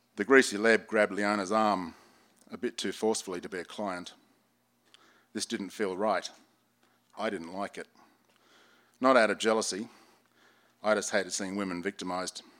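With an Australian accent, a man speaks in fairly even intonation. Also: long, frequent pauses. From Sydney, Australia. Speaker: former detective and novelist. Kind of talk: reading aloud. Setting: bookstore reading with audience.

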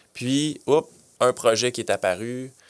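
This man has a plain, everyday voice at medium pitch. His pitch variation is ordinary. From Quebec (Granby). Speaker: city events manager. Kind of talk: interview. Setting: studio.

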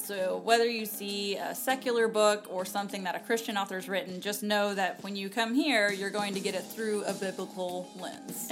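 A woman speaks at a moderate pace with hardly any pauses, her pitch medium and her intonation fairly even. Music plays in the background. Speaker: podcast co-host. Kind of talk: casual, conversational.

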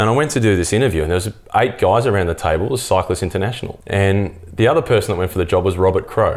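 Speaking at a very fast pace with very even loudness, a man with an Australian accent keeps a fairly low pitch and ordinary pitch variation. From Australia, Melbourne. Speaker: cycling commentator. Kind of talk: interview. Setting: in-person recording.

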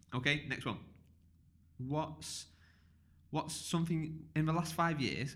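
In a room with audible echo, a man with a fairly high pitch speaks at a very slow pace, with fairly even intonation and long, frequent pauses. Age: 30s. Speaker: podcast host. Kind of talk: casual interview.

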